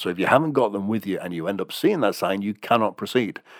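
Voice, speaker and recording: In a very clean recording with a silent background, a man with an ordinary speaking voice and fairly low pitch speaks with lively intonation. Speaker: traffic and travel bulletin presenter. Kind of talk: traffic and travel bulletin read aloud, informative. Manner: clear, steady, matter-of-fact, with casual ad-libbed asides.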